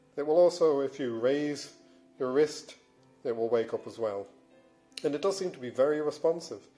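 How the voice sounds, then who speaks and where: A fairly high-pitched man speaks at a moderate pace with ordinary pitch variation and long, frequent pauses. Music plays in the background. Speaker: fitness and smartwatch reviewer. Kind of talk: casual product review to camera.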